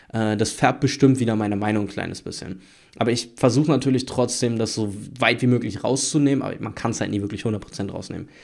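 Here is a man with an unremarkable speaking voice, talking at a fairly quick pace and medium pitch. His intonation stays fairly even over a quiet background. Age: 20s. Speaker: YouTube sports commentator; sports news youtuber. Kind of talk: solo news commentary video. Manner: casual, with frequent fillers. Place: home room. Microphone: studio mic.

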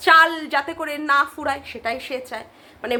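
The voice is raised and projected, animated in tone, with very wide pitch swings. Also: woman. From West Bengal, Kolkata area. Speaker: YouTube commentary vlogger. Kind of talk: casual vlog commentary.

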